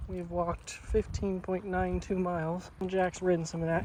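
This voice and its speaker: With an American accent, a man talks at a moderate pace over noticeable background noise. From United States. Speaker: travel vlogger walking across Europe. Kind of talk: casual vlog narration while walking. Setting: outdoors.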